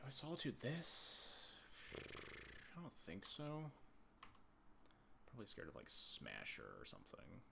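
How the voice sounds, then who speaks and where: Audible room echo surrounds a soft-spoken man. He talks at a fairly slow pace with long, frequent pauses. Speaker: game streamer. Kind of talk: live gameplay commentary. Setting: live stream. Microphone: quiet volume on YouTube upload.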